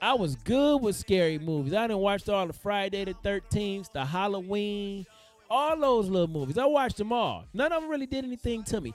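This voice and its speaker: With music in the background, a man with an American accent talks fairly quickly in an animated tone, his high voice swinging very widely in pitch. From Detroit, Michigan, US. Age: 40s. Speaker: motivational live streamer. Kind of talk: motivational talk. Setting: live stream.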